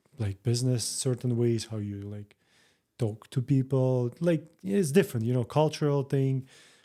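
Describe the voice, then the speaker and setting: Man with a Russian accent, a dark, mellow tone and medium pitch with ordinary variation, moderate pace, very clean recording with a silent background. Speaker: real estate broker. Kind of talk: interview. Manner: halting.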